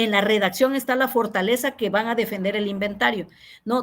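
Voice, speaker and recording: The speaker here is a woman. She varies her pitch in an ordinary way. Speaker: university teacher. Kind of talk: online class feedback session. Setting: video call.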